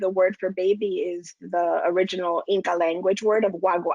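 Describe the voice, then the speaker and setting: A woman speaks with a Spanish accent and fairly even intonation. The sound is dry and close, with no echo. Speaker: lactation consultant. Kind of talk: casual panel discussion.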